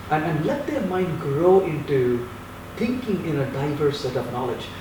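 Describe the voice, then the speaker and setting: A man with a non-native accent talks at a moderate pace in a fairly high voice with lively intonation. Audible room echo and noticeable background noise surround him. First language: not English. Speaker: software developer and university teacher. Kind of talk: interview.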